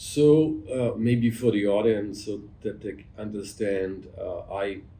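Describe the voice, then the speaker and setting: In a room with audible echo, a man with a fairly low pitch and a dark, mellow tone speaks at a fairly slow pace, sounding somewhat breathy. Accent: German. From Germany. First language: German. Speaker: physician. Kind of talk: interview conversation. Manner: halting.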